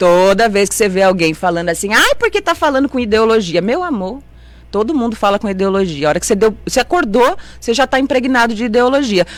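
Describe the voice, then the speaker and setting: Animated and lively in intonation, a woman with a fairly high pitch speaks at a very fast pace. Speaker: city councillor. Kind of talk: radio interview. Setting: radio studio, also streamed on Facebook.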